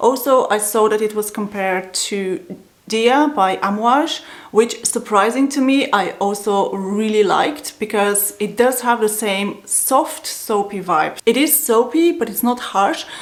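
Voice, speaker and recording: A woman at a fairly high pitch with ordinary pitch variation, fairly slow in pace, amid noticeable background noise. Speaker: perfume reviewer. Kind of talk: casual review to camera.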